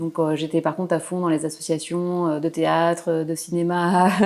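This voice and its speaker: A woman in a Parisian accent, fairly low in pitch, monotone and flat in intonation, at a moderate pace. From Paris region, France. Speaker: painter. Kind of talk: interview. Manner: hesitant.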